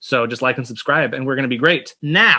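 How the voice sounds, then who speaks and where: The speaker is a man. His recording is very clean, with a silent background. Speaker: livestream show host. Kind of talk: casual show hosting chat. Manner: loud, shouting.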